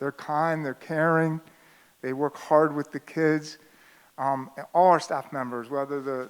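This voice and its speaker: Recorded very cleanly against a silent background, a man with a normal speaking voice talks at a moderate pace and fairly high pitch. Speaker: school administrator. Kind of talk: presentation to parents.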